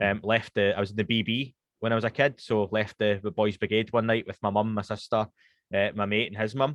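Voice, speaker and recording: A man with a Scottish accent speaks in a fairly low voice. His intonation is flat and monotone. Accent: Scottish, toned down to be slower and posher. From Scotland, Glasgow west end. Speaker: podcast host (guest here). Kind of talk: casual interview chat. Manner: fast when speaking Scots.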